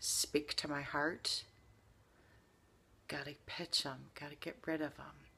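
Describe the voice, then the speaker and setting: A woman with fairly even intonation. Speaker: vlogger. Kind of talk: reflective talk to camera. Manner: slow.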